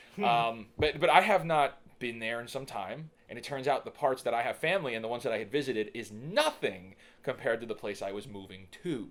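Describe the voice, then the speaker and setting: At a fairly quick pace, a man talks at a medium pitch with lively intonation and big swings in loudness. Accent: New York. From New York City (Staten Island). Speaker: digital marketer and filmmaker. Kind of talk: podcast interview. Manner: halting, many fillers and repeats.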